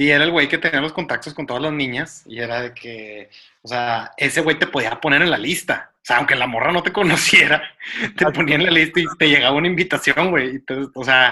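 A man's fairly high, bright, sharp voice with ordinary pitch variation at a fairly quick pace. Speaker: podcast co-host. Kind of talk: casual chat.

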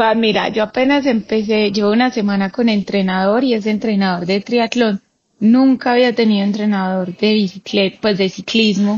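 A woman talks at a moderate pace with a fairly high pitch and a somewhat breathy sound. Her intonation is fairly even and her loudness very even. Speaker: cyclist and cancer survivor. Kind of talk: casual interview conversation.

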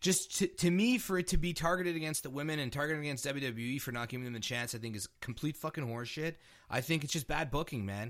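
Speaking at a very fast pace with hardly any pauses, a man uses lively intonation and a fairly high pitch on a very clean recording with a silent background. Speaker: podcast co-host. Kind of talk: casual banter about wrestling.

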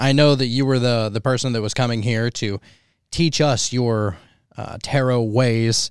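Here is a man with an unremarkable speaking voice and an American accent. He speaks at a moderate pace and medium pitch. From Pennsylvania. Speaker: podcast host. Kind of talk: casual chat.

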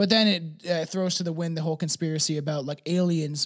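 A man's fairly high voice with an American accent, a normal speaking voice, fairly even intonation and a moderate pace, on a very clean recording with a silent background. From not the US, outside America. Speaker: co-host. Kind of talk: casual chat. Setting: early morning at home, drinking coffee and whiskey. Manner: joking, laid-back.

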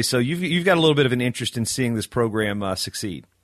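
Lively intonation in an unremarkable speaking voice. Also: man. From Virginia, US. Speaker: wrestling podcast host. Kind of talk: casual interview chat.

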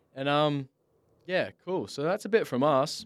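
A man with an Australian accent is recorded with a dry, close sound and no echo. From Western Australia, Bunbury. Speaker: podcast host. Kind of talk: casual chat. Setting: studio.

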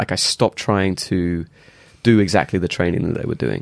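Speaking at a fairly quick pace, a man with a fairly low pitch is heard in a dry, close sound with no echo on a very clean recording against a silent background. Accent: English. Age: 30s. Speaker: martial arts athlete and instructor. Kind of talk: casual chat.

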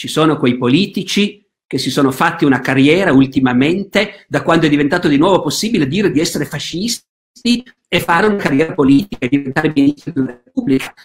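A man's fairly high voice with lively intonation. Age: 60s. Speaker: historian. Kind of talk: interview. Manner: halting, many fillers.

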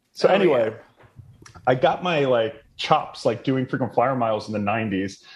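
Here is a man with a normal speaking voice at medium pitch. He talks at a moderate pace with lively intonation. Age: 30s. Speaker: travel points expert, website founder. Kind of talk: casual interview chat.

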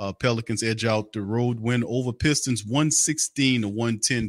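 An ordinary speaking voice at a fairly slow pace, in a very clean recording with a silent background and a dry, close sound with no echo. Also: man. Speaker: sports podcast host. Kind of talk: casual sports recap livestream. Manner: informal, conversational.

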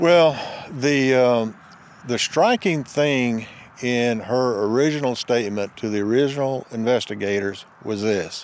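A man talks in an ordinary speaking voice at a medium pitch. His pace is fairly slow, with ordinary pitch variation. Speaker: retired investigator. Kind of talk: casual interview.

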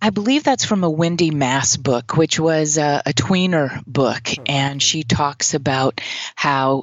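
This woman has a very deep, low voice and an American accent. She talks fairly slowly, with ordinary pitch variation. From US Deep South, Mississippi. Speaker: therapist, tapping practitioner. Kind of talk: interview. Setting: remote call.

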